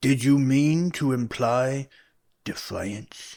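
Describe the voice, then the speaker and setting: On a very clean recording with a silent background, a man does a put-on character voice at a medium pitch and a very slow pace. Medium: audio drama. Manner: curt, commanding.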